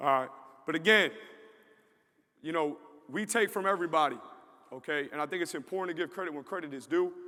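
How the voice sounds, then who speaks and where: The man's voice is fairly high and bright, sharp in tone, with ordinary pitch variation. He talks very fast but leaves long, frequent pauses. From New York. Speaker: football strength coach. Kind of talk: conference presentation.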